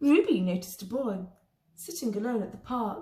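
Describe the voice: A woman talks at a moderate pace with a dark, mellow tone and a fairly high pitch. Her pitch varies ordinarily, and the room echo is audible.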